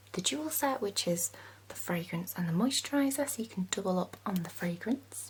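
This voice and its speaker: Calm in tone, a woman speaks at a moderate pace. Noticeable background noise runs behind her. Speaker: ASMR content creator. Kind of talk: perfume shop sales role play. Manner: soft-spoken, friendly, calm.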